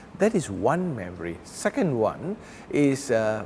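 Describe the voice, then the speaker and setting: With very wide pitch swings and a fairly slow pace, a man speaks against noticeable background noise. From Malaysia, Kuala Lumpur. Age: 60s. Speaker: pastor. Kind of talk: interview reminiscence.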